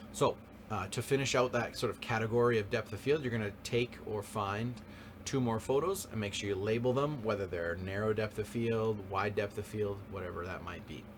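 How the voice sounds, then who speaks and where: Noticeable background noise runs under this recording. A man speaks at a fairly low pitch with ordinary pitch variation. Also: moderate pace. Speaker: high school photography teacher. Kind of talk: classroom lecture. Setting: live class, recorded. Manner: frequent fillers (um, uh).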